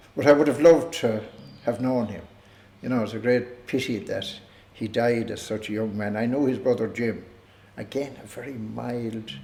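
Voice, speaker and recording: A man with a Tipperary accent, medium-pitched, dark and mellow in tone, at a moderate pace with long, frequent pauses, fairly even intonation, big swings in loudness, and audible room echo. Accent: Irish, Tipperary. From Ireland, Co. Tipperary. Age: 70s. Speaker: retired community figure recalling family history. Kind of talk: oral history interview. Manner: hesitant, with many fillers.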